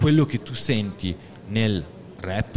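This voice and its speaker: Noticeable background noise runs under the recording. A man speaks with lively intonation. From Reggio Emilia area, Italy. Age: 40s. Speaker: rapper contestant. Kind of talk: jury Q&A on stage. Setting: stage with audience.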